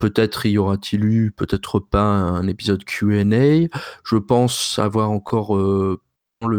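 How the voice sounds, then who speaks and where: Here is a man with an unremarkable speaking voice at a fairly low pitch and fairly even intonation. The sound is dry and close, with no echo. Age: 30s. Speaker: linguistics researcher and podcaster. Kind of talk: interview.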